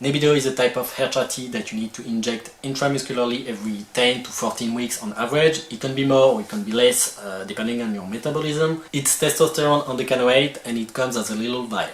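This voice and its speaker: Amid noticeable background noise, a man of medium pitch with a strong French accent talks at a very fast pace with ordinary pitch variation and hardly any pauses. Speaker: video creator. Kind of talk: informational tutorial. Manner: some hesitations.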